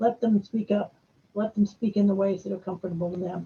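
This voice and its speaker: Her voice medium in pitch with a dark, mellow tone and vocal fry, a woman speaks with fairly even intonation. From northern US. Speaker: conference speaker. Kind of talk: conference presentation. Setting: virtual conference. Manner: fast.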